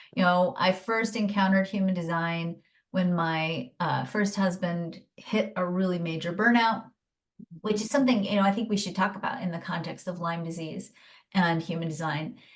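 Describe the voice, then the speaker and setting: Speaking in a plain, everyday voice, a woman talks at a medium pitch and a moderate pace with ordinary pitch variation. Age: 50s. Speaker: human design teacher and coach. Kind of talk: podcast interview.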